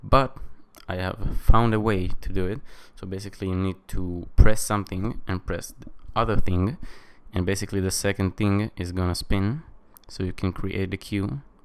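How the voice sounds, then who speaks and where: At a moderate pace, a man speaks in a fairly low voice with fairly even intonation and big swings in loudness. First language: not English. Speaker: tech reviewer. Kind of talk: tutorial. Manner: casual, many fillers.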